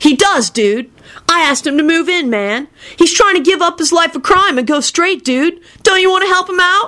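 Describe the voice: A woman in a put-on character voice, shrill and extremely high-pitched, bright and sharp in tone, at a moderate pace. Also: lively intonation.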